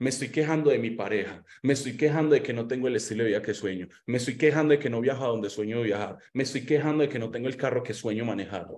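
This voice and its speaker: Speaking at a very fast pace with a Colombian accent, a man sounds animated, his pitch varying an ordinary amount. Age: 20s. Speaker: motivational speaker on personal finance; motivational speaker. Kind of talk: online seminar talk with slides. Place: home room. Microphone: webcam.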